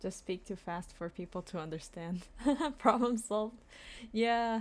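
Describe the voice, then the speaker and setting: The recording is very clean, with a silent background. A woman speaks at a fairly slow pace in an ordinary speaking voice. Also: medium pitch for a woman, ordinary pitch variation. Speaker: streamer. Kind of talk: casual chat.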